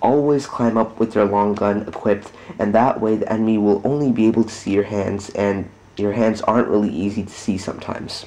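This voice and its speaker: A quiet man's voice, fairly low in pitch, at a fairly quick pace with fairly even intonation, over noticeable background noise. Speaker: gamer. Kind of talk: gameplay tutorial commentary. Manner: quiet, monotone.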